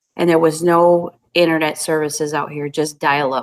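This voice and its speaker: A woman with a French accent speaks at a moderate pace in a fairly low pitch. The sound is dry and close, with no echo. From New Brunswick, Canada (French Canadian). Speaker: YouTube cooking creator. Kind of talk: casual chat.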